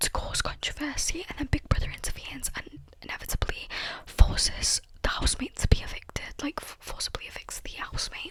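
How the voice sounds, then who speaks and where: Someone whispers at a fairly quick pace. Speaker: ASMR creator. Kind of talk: whispered ramble to camera. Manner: whispered, soft-spoken.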